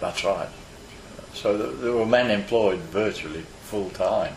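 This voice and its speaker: Noticeable background noise sits behind the recording. A man speaks at a fairly slow pace. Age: 80s+. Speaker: retired coal miner. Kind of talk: oral history interview answer.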